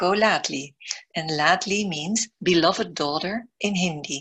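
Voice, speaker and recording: The speaker has a Dutch accent. The pace is fairly slow. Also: woman. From Netherlands. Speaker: podcast host, business mentor and coach. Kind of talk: scripted intro then interview.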